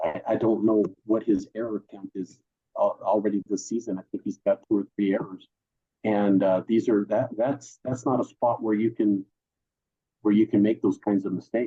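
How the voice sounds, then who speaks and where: A man speaks with fairly even intonation at a fairly low pitch. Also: moderate pace. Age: 60s. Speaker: baseball fan guest. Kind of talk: casual chat. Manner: halting.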